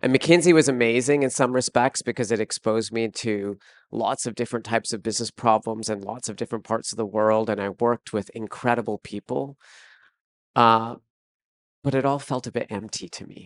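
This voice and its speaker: A man speaks at a medium pitch and a fairly quick pace in a normal speaking voice, with big swings in loudness, ordinary pitch variation, and a dry, close sound with no echo against a quiet background. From Canada. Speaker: fashion entrepreneur and CEO. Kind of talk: live interview. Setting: stage with audience.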